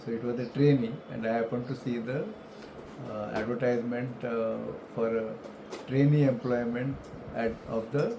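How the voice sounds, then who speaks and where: A man's medium-pitched voice in a flat monotone at a moderate pace, with audible room echo and noticeable background noise. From India, Mumbai (Maharashtra). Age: 70s. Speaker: retired elevator industry professional. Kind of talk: life story interview. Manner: halting, with many fillers.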